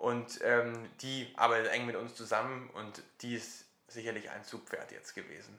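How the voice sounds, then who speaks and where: The man's voice sits at a medium pitch with monotone, flat intonation. His loudness swings widely. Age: 20s. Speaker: social startup founder. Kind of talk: interview.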